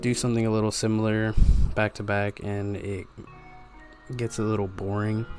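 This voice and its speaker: Over music in the background, a man with a fairly low pitch talks at a moderate pace in a monotone, flat intonation, leaving long, frequent pauses. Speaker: pen and ink artist. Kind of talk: casual voiceover narration.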